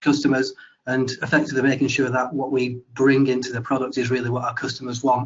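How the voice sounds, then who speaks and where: With a British accent, a man speaks at a fairly quick pace and medium pitch in a monotone, flat delivery. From UK. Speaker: webinar host, investigations lead. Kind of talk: webinar presentation.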